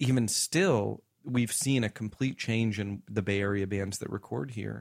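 In a very clean recording with a silent background, a man with an American accent and an ordinary speaking voice talks at a moderate pace, with a fairly low pitch and ordinary pitch variation. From US South. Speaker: musician and recording studio owner. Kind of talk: casual interview. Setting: studio.

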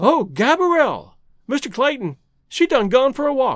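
This put-on character voice has a fairly bright tone and big pitch swings. It moves at a moderate pace. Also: man, extremely high pitch for a man.

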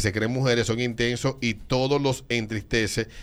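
A man with a Dominican accent at a fairly slow pace, on a very clean recording with a silent background. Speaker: radio host. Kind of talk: casual chat.

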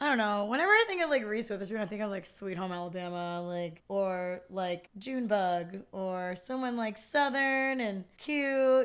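An unremarkable speaking voice with an American accent, lively intonation, a moderate pace and hardly any pauses. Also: woman, medium pitch for a woman. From Philadelphia area, US. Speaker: podcast guest, film fan. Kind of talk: casual chat.

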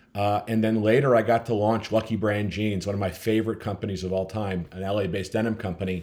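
In an American accent, a man with fairly low pitch talks very fast in a monotone, flat intonation with hardly any pauses. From US Midwest, Minnesota. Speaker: company founder. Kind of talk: interview.

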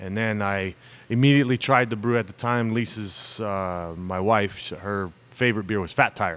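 Against a silent background in a very clean recording, a man with a Southwestern US accent speaks at a moderate pace. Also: ordinary pitch variation. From US Southwest, Tucson Arizona. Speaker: brewery owner. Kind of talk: casual interview chat.

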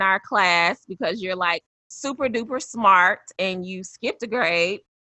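Speaking at a fairly slow pace, a woman has an unremarkable speaking voice at a medium pitch. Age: 30s. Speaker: podcast host. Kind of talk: casual interview chat.

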